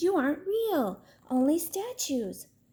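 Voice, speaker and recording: A woman puts on a squeaky character voice at an extremely high pitch, swinging very widely in pitch at a fairly slow pace. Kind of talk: bedtime story. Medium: read story.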